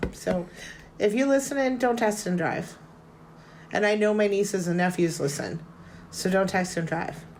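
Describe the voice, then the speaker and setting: A woman with a Boston accent speaks at a moderate pace in a medium pitch with ordinary pitch variation, leaving long, frequent pauses. Audible room echo surrounds her voice. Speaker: podcast host. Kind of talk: casual chat.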